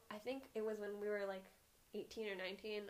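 At a moderate pace, a woman talks in a normal speaking voice with medium pitch. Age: 20s. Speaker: podcast co-host. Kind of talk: casual chat.

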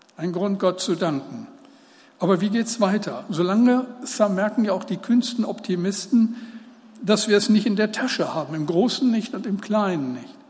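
Recorded with audible room echo and noticeable background noise, a man talks at a moderate pace in a high pitch with ordinary pitch variation. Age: 70s. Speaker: preacher. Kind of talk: sermon.

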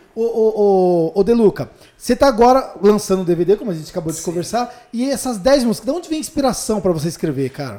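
A high-pitched man talking at a very fast pace with very wide pitch swings. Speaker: podcast host. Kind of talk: casual interview chat. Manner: animated.

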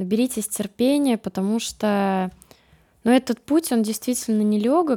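On a very clean recording with a silent background and a dry, close sound free of echo, a woman speaks at a moderate pace in a dark, mellow tone, her fairly high voice showing ordinary pitch variation. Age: young. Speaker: food blogger. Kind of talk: casual chat. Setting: studio.

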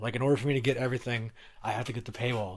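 On a very clean recording with a silent background, a man speaks very fast in an American accent. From Stockton, California. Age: 30s. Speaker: podcast host. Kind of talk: casual chat. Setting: recording in a garage.

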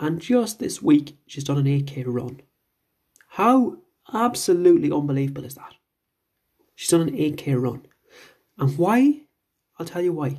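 This man sounds animated and somewhat breathy. He keeps a moderate pace with ordinary pitch variation. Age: 40s. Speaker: fitness coach and podcast host. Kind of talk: motivational monologue.

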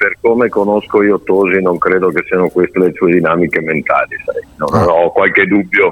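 A man speaks at a moderate pace with very even loudness against noticeable background noise. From Verona, Italy. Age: 40s. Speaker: politician. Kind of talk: interview.

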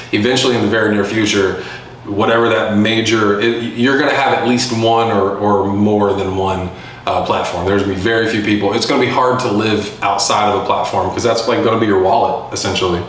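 Against noticeable background noise and audible room echo, a man with an American accent speaks fairly quickly at a fairly low pitch, his intonation fairly even and his loudness very even. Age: 30s. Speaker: podcast host, entrepreneur, Marine veteran. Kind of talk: solo Q&A monologue. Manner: casual, many filler words.

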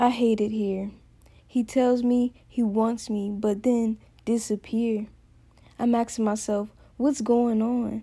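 Speaking very slowly with long, frequent pauses, a woman uses a fairly high pitch and a dark, mellow, somewhat breathy tone, her intonation monotone and flat. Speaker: poet and podcast host. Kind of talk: poem performance, rhythmic spoken-word delivery of rhyming verses about heartbreak; casual chat. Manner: sassy, emotive and rhythmic, with punchy rhymed lines; casual and chatty in the story breaks, filler-heavy.

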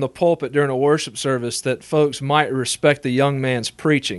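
Against a quiet background, a man with a normal speaking voice talks at a moderate pace in a fairly high pitch. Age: 20s. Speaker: assistant pastor. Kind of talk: interview.

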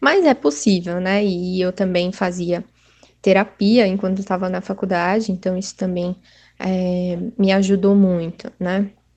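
Against a quiet background, a woman of medium pitch talks fairly slowly with fairly even intonation. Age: 30s. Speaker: psychologist and doctoral student. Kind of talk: interview. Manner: halting, many fillers.

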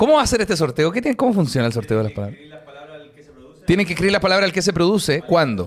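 In a Chilean accent, a man speaks very fast at a high pitch, with an animated tone and very wide pitch swings. His long pauses come often. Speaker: podcast host. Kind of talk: casual chat. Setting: stage with audience.

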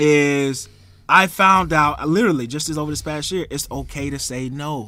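A man with a fairly high pitch and a bright, sharp tone, ordinary pitch variation and a fairly slow pace. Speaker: podcast host. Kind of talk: casual banter podcast chat.

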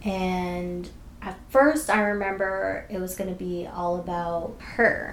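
Over noticeable background noise and audible room echo, a woman with an American accent speaks very slowly at a medium pitch, with ordinary pitch variation and big swings in loudness. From Boston. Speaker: podcast co-host. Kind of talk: casual chat.

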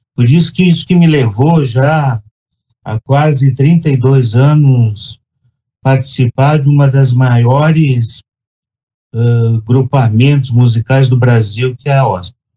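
Speaking at a very slow pace, a man uses a somewhat breathy, medium-pitched voice with ordinary pitch variation. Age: 60s. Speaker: orchestra trombonist. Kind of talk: casual chat.

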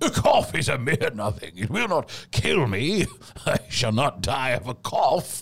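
Very wide pitch swings mark this man's medium-pitched voice. He speaks at a fairly slow pace. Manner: eager, proud, boastful.

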